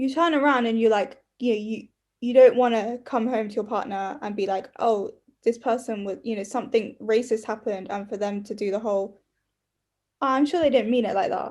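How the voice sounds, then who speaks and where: A woman speaks in a London accent at a fairly quick pace, her pitch fairly high. Her pitch variation is ordinary, and the recording is very clean with a silent background. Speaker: podcast co-host. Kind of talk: casual chat.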